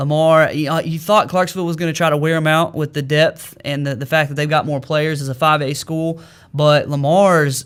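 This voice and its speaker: On a very clean recording with a silent background, a man with an Arkansas accent talks at a fairly high pitch and moderate pace. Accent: US Southern (Arkansas). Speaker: sports radio host. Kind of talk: sports talk radio show. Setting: radio studio.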